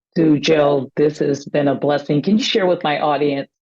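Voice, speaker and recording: Speaking at a moderate pace, a woman with a very deep, low pitch and a dark, mellow tone keeps a fairly even intonation. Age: 60s. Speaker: pastor and podcast host. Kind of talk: interview.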